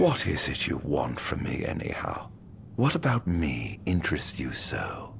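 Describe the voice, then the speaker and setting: A man's put-on character voice, very deep and low in pitch, with clear background noise. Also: moderate pace. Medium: video game. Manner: terse, cold.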